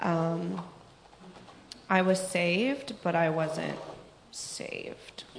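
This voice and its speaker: A woman's fairly low, fairly evenly intoned voice, with audible room echo and noticeable background noise. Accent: American. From Pittsburgh, US. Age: 20s. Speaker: recovering addict giving testimony. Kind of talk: testimony. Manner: hesitant, many fillers.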